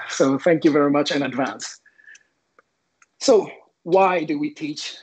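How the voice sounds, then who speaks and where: This man speaks with a Quebec accent. His pitch is fairly high. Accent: French Canadian accent in English. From Quebec, Canada (French Canadian, Sherbrooke). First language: French. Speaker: teacher. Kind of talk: presentation. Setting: online event.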